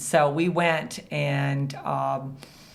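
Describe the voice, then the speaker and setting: A woman with a Midwestern American accent has a very deep, low voice with vocal fry. Audible room echo can be heard. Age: 60s. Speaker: business founder and CEO. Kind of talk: podcast interview. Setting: recording studio at a co-working space.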